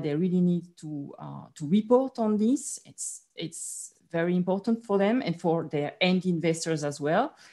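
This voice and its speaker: Against a quiet background, a woman talks at a moderate pace with lively intonation. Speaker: finance executive; panelist. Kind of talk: panel discussion. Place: home room. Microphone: video call.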